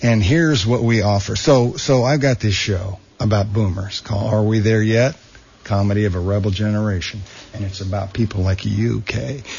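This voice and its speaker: Speaking at a moderate pace with an American accent, a man talks in a fairly low pitch with ordinary pitch variation over noticeable background noise. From Bakersfield, California. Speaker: comedian. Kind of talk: radio interview with jokes. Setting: radio studio. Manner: animated.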